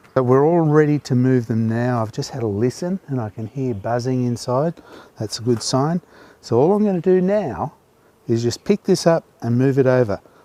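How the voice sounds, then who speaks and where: A man with an Australian accent talks at a moderate pace with lively intonation and a medium pitch. His dark, mellow tone comes through in a dry, close sound with no echo. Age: 60s. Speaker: beekeeper. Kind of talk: video narration.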